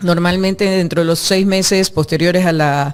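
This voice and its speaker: Here is an unremarkable speaking voice from a woman with medium pitch. She keeps a moderate pace and fairly even intonation. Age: 60s. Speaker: former legislator, architect. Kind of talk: interview. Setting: studio.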